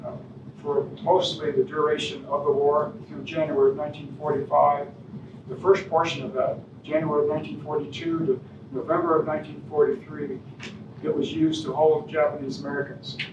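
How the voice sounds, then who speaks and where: Amid noticeable background noise and audible room echo, a man speaks at a fairly quick pace with fairly high pitch and fairly even intonation. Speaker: guest speaker on local history. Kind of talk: public lecture with slides. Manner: soft-spoken; hesitant, many fillers. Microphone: no microphone, hard to hear.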